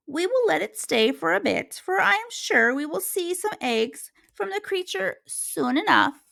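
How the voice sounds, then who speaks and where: In a put-on character voice, the speaker moves at a moderate pace through very wide pitch swings. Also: woman, high pitch for a woman. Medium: read story.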